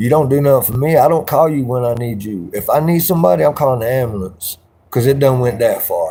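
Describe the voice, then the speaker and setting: Someone with an American accent talks at a very fast pace with lively intonation, in a somewhat breathy voice with a dark, mellow tone. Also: man, medium pitch for a man. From South Carolina. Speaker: livestreamer. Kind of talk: casual livestream chat.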